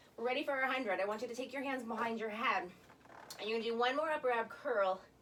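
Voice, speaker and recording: Very fast speech from a woman pitched fairly high, with ordinary variation in pitch and noticeable background noise. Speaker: Pilates instructor. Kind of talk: guided exercise class instruction. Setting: home basement studio.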